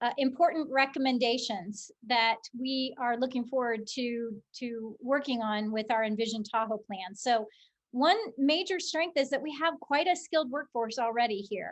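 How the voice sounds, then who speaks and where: A woman's high voice at a moderate pace with ordinary pitch variation against a quiet background. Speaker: nonprofit economic development CEO. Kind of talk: webinar presentation.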